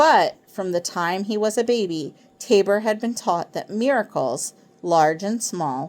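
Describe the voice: Someone does plain reading aloud. Nothing beyond that is added to the delivery.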